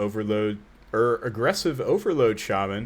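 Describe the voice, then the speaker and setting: Lively intonation marks this man's speech, which sits at a fairly low pitch. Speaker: video game streamer. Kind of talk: casual live stream chat while opening card packs. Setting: live stream. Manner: halting, fumbling words.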